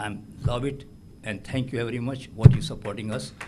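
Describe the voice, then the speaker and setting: A man with an Indian accent speaks at a fairly quick pace and medium pitch, somewhat breathy, with ordinary pitch variation. Audible room echo surrounds his voice. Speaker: award recipient, business owner. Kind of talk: acceptance speech. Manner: halting.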